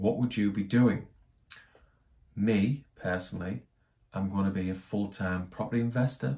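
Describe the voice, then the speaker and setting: A man's fairly low, somewhat breathy voice with a dark, mellow tone. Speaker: personal finance YouTuber. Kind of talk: tutorial. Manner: monotone.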